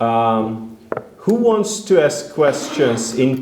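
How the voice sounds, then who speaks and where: With a Hungarian accent and lively intonation, a man speaks at a very slow pace amid noticeable background noise. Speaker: event moderator. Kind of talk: moderated Q&A. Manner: halting, hesitant.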